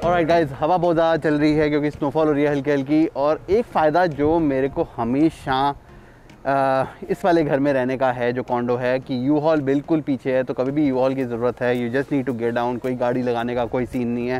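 A man speaks at a moderate pace with fairly even intonation while faint music plays in the background. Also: dry sound with no echo. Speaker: vlogger. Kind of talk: casual vlog chat. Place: street. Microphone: phone near.

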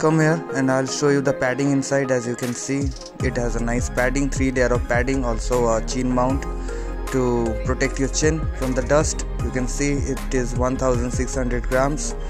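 A man talks at a moderate pace. Clear music sounds behind him. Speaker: motorcycle vlogger. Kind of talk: product review. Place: forest.

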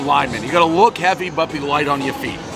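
Clear music plays in the background behind a man speaking with ordinary pitch variation. The sound is dry, with no echo. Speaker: food reviewer. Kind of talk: casual review commentary. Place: street.

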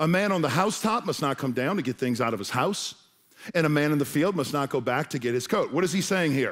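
Lively intonation marks a man's voice set against a quiet background. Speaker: pastor. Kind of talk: sermon. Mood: humorous, playful asides. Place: stage. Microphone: headset.

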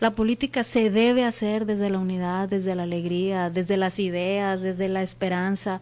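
A woman speaks at a moderate pace with hardly any pauses. Her intonation stays fairly even. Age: 40s. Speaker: politician. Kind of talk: interview. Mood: earnest, reflective. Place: studio. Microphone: studio mic.

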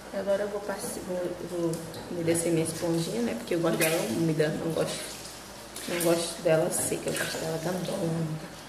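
Long, frequent pauses from a woman with ordinary pitch variation, amid audible room echo and noticeable background noise. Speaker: beauty vlogger. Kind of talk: casual vlog chat. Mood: excited, cheerful. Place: bathroom. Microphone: phone near.

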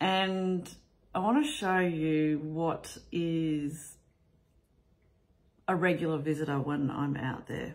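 With an Australian accent, a woman speaks at a fairly low pitch with ordinary pitch variation. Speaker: vlogger; family vlogger. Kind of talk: casual vlog talk. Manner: casual, with frequent fillers. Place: home room. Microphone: phone near.

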